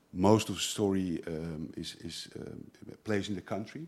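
His pitch very deep and low, a man speaks with fairly even intonation. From Netherlands. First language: Dutch (speaking French). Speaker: comic artist. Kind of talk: panel talk at a festival. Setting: stage with audience.

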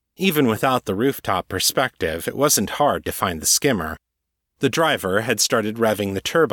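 This is reading aloud in a natural voice, with lively intonation. The background is quiet.

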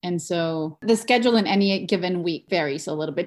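Speaking with a Spanish accent at a fairly quick pace, a woman has a fairly low pitch, captured on a very clean recording with a silent background. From Mexico. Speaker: education researcher. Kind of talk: interview.

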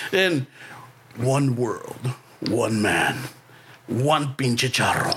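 A man's put-on character voice at medium pitch, very slow pace, ordinary pitch variation, long and frequent pauses. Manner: epic, dramatic.

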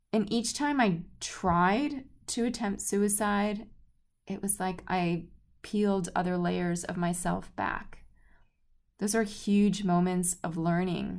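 A warm tone with ordinary pitch variation moves at a very slow pace. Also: woman, medium pitch for a woman. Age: 40s. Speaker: podcast host and color healing author. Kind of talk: solo podcast monologue. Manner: warm, conversational.

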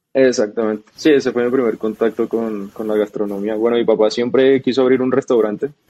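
A man talks fairly quickly with hardly any pauses, in an unremarkable speaking voice. His pitch is medium and his intonation fairly even. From Colombia, Bogotá. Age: 20s. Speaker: startup co-founder. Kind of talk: interview.

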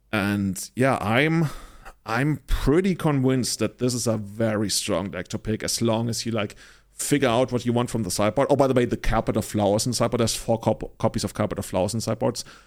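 Very clean recording with a silent background of a man with a normal speaking voice, medium pitch, ordinary pitch variation and a fairly quick pace. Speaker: podcast host. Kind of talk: casual chat about card game strategy.

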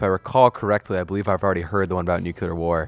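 Over music in the background, a man with a very deep, low pitch speaks at a very fast pace in a dry, close sound with no echo. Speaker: guest radio host. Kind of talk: casual radio interview. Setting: radio studio.

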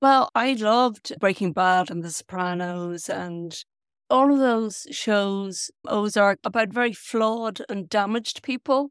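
A woman with an Irish accent speaks at a fairly slow pace with ordinary pitch variation. The sound is dry and close, without echo. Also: fairly high pitch for a woman. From Ireland. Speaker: novelist. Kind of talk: interview. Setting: video call.

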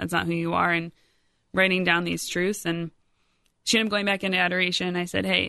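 Against a quiet background, a woman with an American accent speaks fairly quickly in a fairly low, bright, sharp tone with fairly even intonation. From US Midwest, Rockford, Illinois. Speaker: lay missionary, event coordinator. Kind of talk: personal testimony interview.

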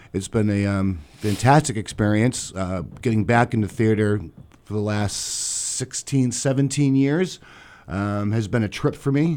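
Speaking at a fairly slow pace with a Boston accent, a man uses ordinary pitch variation. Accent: Boston-area New England. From Massachusetts South Shore (Duxbury). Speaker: theater director. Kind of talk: radio interview.

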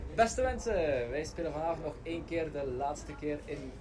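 Speech at a moderate pace, with noticeable background noise and audible room echo. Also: man. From Flanders, Belgium. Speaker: circus acrobat. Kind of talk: interview; promo announcement.

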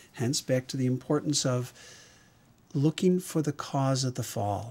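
A man speaks at a moderate pace in a somewhat breathy voice of medium pitch, with ordinary pitch variation. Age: 60s. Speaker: emergency physician. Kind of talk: interview.

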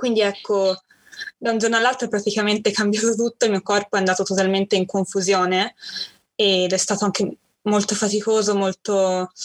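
A woman speaks at a fairly quick pace in a medium pitch, with long, frequent pauses. Her loudness stays very even and her intonation is monotone and flat. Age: 20s. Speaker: university student sharing chronic illness story. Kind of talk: interview testimony.

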